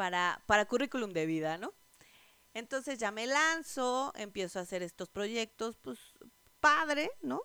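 In a Mexico City accent, a woman with a fairly high voice speaks at a fairly slow pace, her tone bright, sharp and animated, and her pitch swinging very widely. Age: 30s. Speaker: podcast host, network marketer. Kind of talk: casual monologue.

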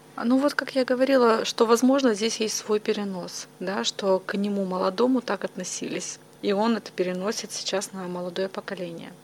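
Amid noticeable background noise, a woman with a medium pitch speaks at a moderate pace. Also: ordinary pitch variation. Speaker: psychologist. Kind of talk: interview.

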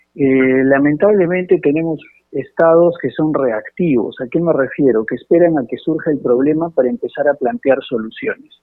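Music plays in the background as a man speaks at a moderate pace with hardly any pauses, his fairly high pitch showing ordinary variation. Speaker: congressman. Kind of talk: radio interview. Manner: halting.

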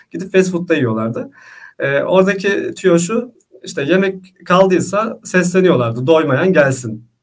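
High in pitch for a man, his voice moves with lively intonation at a fairly slow pace. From Istanbul, Turkey. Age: 20s. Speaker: vegan content creator, former conscript. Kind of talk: casual interview.

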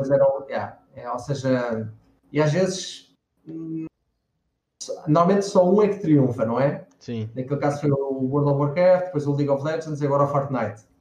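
A man speaks in a European Portuguese accent with ordinary pitch variation. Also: fairly high pitch for a man, moderate pace. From Portugal, Lisbon. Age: 30s. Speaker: 3D character artist. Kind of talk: interview on a live stream.

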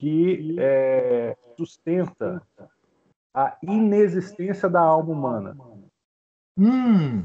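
A man's high, dark, mellow voice at a very slow pace, with lively intonation and long, frequent pauses. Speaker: student in the class. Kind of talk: question in online class. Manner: halting. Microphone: connection drops out.

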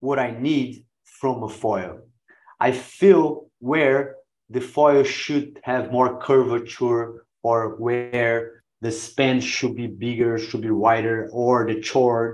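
Speaking very slowly in a Brazilian accent, a man uses a medium pitch with ordinary pitch variation. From Brazil, Santos. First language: Portuguese. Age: 40s. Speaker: pro wing foil rider. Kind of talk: casual interview. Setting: video call. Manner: halting.

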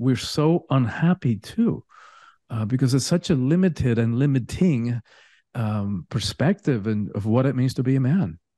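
A man in a Spanish accent, medium in pitch and dark and mellow in tone, with lively intonation at a moderate pace, dry and close with no echo over a quiet background. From Cuba. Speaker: spiritual teacher and coach. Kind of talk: casual interview chat.

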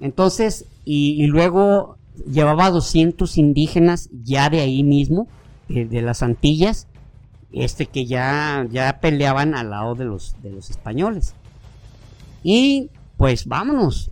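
A man talks very slowly in a Mexican accent, his pitch fairly high and his intonation lively. His loudness swings widely, with music in the background. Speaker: history podcast co-host. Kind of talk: casual storytelling. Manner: halting, many repetitions.

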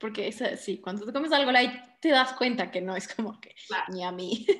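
A woman speaks with a Quito Ecuadorian accent at a fairly high pitch. Her pace is moderate and her intonation lively. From Ecuador, Quito. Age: 30s. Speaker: interior designer and home cook. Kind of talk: casual chat.

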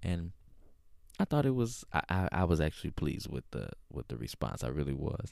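A man with a very deep, low pitch, vocal fry, very wide pitch swings, and a fairly quick pace. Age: 30s. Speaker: podcast host. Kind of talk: casual monologue. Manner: frequent fillers and hesitations.

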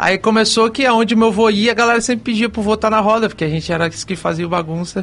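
A man's high voice moves along fairly quickly, its pitch rising and falling in an ordinary way. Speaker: gospel singer. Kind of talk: radio interview. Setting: radio studio.

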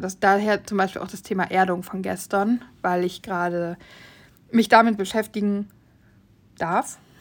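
Fairly even intonation from a woman at a medium pitch and a moderate pace. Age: 30s. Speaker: podcast host. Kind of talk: casual monologue.

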